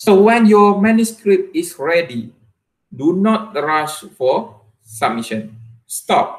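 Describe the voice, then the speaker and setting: The voice moves at a very slow pace with very wide pitch swings. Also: man, high pitch for a man, quiet background. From Malaysia. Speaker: university lecturer and researcher; university lecturer. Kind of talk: academic presentation. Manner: hesitant, frequent fillers. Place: home room. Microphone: webcam.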